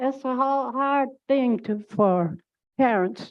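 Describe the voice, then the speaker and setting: The voice is loud, with lively intonation. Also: woman. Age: 80s+. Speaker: retired teacher, public commenter. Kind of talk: public comment at board meeting.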